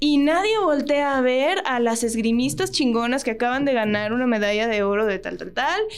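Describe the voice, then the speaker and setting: Over audible room echo, a woman with a Mexican accent speaks at a moderate pace, her high voice full of lively intonation. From Mexico. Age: 30s. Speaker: actress and voice actress. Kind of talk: casual chat. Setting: studio.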